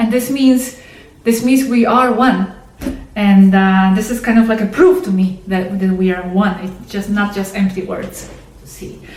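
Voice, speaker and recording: Noticeable background noise and audible room echo surround a woman who speaks at a fairly slow pace with ordinary pitch variation. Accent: non-native. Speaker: channel host, contactee video narrator. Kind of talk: monologue explanation to camera. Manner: halting, many repetitions and fillers.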